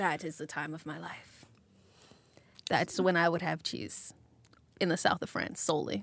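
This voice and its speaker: At a moderate pace with long, frequent pauses, a woman talks in a fairly low pitch with vocal fry, ordinary pitch variation and big swings in loudness. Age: 20s. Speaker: podcast host. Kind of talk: casual chat.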